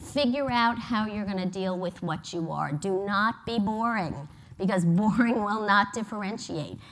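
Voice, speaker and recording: With an American accent, a woman speaks at a moderate pace and medium pitch, showing ordinary pitch variation amid audible room echo. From New York. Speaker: advertising agency executive. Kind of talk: conference presentation. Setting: stage with audience.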